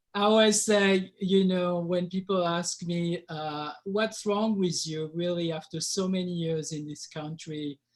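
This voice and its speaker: A man speaks at a fairly slow pace. His pitch is high and his intonation fairly even. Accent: strong French. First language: French. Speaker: winemaker. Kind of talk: casual webinar chat.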